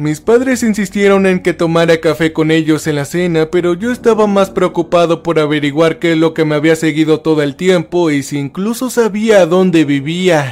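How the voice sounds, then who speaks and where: Ordinary pitch variation with hardly any pauses. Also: man, high pitch for a man, moderate pace. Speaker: creepypasta narrator. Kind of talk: first-person horror story narration, creepypasta, tense and hushed, building dread. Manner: tense and frightened delivery, voice rising then trembling in panic scenes.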